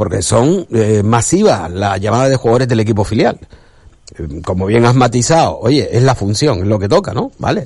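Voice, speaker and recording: Here a man speaks at a medium pitch and a moderate pace. His voice is somewhat breathy, with lively intonation. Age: 50s. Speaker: sports radio host. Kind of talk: radio sports talk show.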